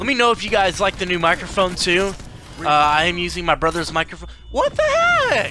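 An animated man speaks at a fairly quick pace, the sound dry with no echo but with noticeable background noise. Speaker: gaming YouTuber; gamer. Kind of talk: live gameplay commentary. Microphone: studio mic.

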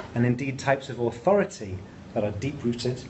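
Fairly quick male speech against light background noise. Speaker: presenter. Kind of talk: lecture. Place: classroom.

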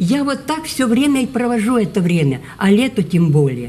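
Her pitch leaps up and down very widely. The woman keeps a moderate pace. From Ukraine. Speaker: poet. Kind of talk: casual interview answer. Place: hall. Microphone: phone near.

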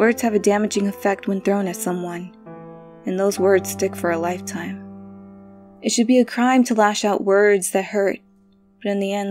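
Music plays behind a woman whose speech moves at a moderate pace. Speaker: spoken word poet. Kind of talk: spoken word poetry performance.

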